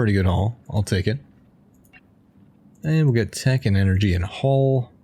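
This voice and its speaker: A somewhat breathy male voice, dark and mellow in tone, at a fairly quick pace with ordinary pitch variation. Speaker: gamer, video creator. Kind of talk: casual gameplay commentary.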